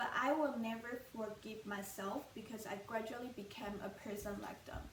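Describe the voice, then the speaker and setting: Someone with a mainland Chinese accent talks at a moderate pace amid audible room echo and noticeable background noise. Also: woman. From mainland China. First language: Mandarin Chinese. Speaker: student speaker. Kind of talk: public talk.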